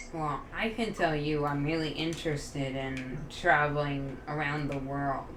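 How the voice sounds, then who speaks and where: Speech with fairly even intonation comes through audible room echo and noticeable background noise. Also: woman. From United States. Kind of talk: casual chat.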